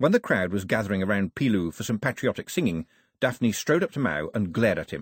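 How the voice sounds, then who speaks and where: A man's dramatic delivery with vocal fry at a fairly quick pace, on a very clean recording with a silent background and a dry, close sound with no echo. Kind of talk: audiobook narration. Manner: dramatic, expressive storytelling with character voices; wry, lightly humorous, varied pacing.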